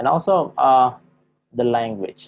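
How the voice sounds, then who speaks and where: A man with an Indonesian accent. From Java, Indonesia. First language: Javanese. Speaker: university lecturer. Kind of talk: lecture. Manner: halting, many fillers.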